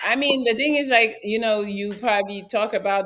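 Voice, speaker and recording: An unremarkable speaking voice from a woman, at a moderate pace with ordinary pitch variation. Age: 30s. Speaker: talk show host. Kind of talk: casual chat.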